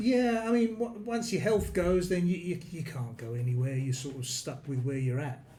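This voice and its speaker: High male voice with very wide pitch swings and audible room echo. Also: moderate pace. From London, England. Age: 60s. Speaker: expat retiree. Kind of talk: interview. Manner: hesitant.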